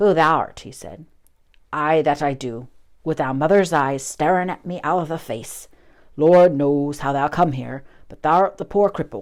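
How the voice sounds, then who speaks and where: A shaky put-on character voice speaks at a middle pitch. The pace is moderate. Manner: shaky, unsteady, emotional.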